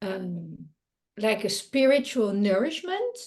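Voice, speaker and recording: A woman speaks at a very slow pace with a non-native accent. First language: Dutch. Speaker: creativity coach and artist. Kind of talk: interview. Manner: halting, many fillers.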